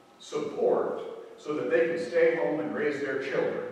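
A man at a fairly slow pace, with strong room echo. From Ireland. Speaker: preacher. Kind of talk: sermon. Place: church. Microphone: camera far.

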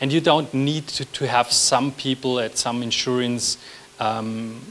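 A man talks at a medium pitch with fairly even intonation. His tone is fairly bright.

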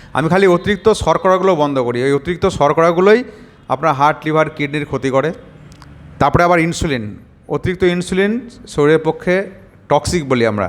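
A man speaks with an ordinary speaking voice. His pitch is fairly high and his pitch variation ordinary. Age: around 50. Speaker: doctor. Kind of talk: patient testimonial video with health advice.

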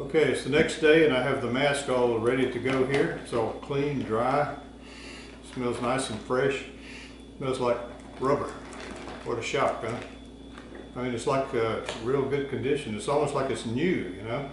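There is audible room echo and noticeable background noise as a man speaks at a moderate pace with fairly even intonation and long, frequent pauses. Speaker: presenter. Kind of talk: casual tutorial explanation. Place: garage.

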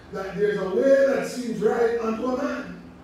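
Strong room echo fills this recording, with a light layer of background noise underneath. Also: man. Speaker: preacher. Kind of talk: sermon. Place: church.

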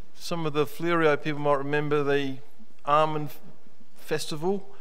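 The speech moves at a moderate pace with a monotone, flat intonation. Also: man. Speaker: pastor. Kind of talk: sermon. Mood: warm, light-hearted. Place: church. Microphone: podium.

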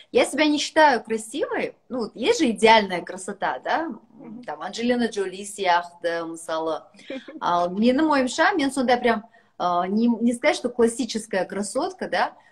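A woman speaks with very wide pitch swings. The background stays quiet. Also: fairly slow pace. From Kazakhstan. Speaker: businesswoman; guest. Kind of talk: casual chat. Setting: video call. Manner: animated. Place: home room. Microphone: video call.

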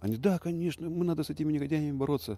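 The speech runs at a very fast pace in a dry sound with no echo. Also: man. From Russian Far East, Primorsky Krai. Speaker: tree-planting activist, former official; interviewee. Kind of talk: interview. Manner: halting. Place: garden.

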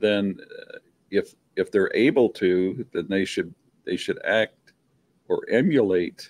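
Long, frequent pauses break up a man's very slow speech. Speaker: talk show guest. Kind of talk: opinionated casual discussion. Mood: firm, opinionated. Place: home room. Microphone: video call.

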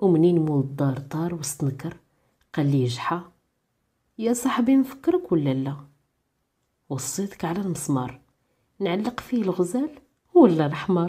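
A woman with a Moroccan accent speaks at a fairly slow pace in a fairly low pitch, her voice swinging very widely up and down, with long, frequent pauses. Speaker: radio-style program presenter and storyteller. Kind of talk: folk tale storytelling narration.

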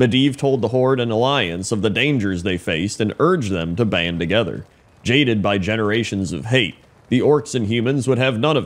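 The delivery has a dramatic tone and lively intonation. It moves at a fairly quick pace. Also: man, medium pitch for a man. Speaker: YouTube gaming content creator. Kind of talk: lore audiobook reading, scripted narration. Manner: even, steady storyteller pacing; formal, dramatic narrator tone.

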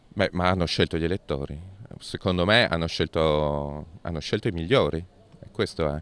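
A man speaks at a moderate pace in a very deep, low pitch with ordinary pitch variation. The sound is dry, with no echo. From Friuli-Venezia Giulia, Monfalcone area; Friuli-Venezia Giulia. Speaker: politician. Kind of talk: interview. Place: street. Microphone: handheld.

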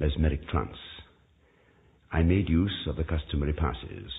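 His voice sits very deep and low. The man talks at a moderate pace. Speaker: actor. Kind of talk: dramatic reading of a Gothic tale.

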